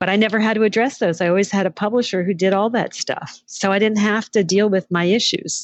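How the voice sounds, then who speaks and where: A woman with an unremarkable speaking voice at a fairly quick pace, hardly any pauses, fairly even intonation, very even loudness and a dry, close sound with no echo. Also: medium pitch for a woman. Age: 60s. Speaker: entrepreneur and former magazine editor. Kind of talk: interview.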